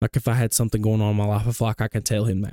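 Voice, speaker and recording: A man with an Alabama accent speaks in a dark, mellow tone. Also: dry, close sound with no echo. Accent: Southern US (Alabama). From US South, Gadsden, Alabama. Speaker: fitness entrepreneur and pest control worker. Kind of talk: casual chat.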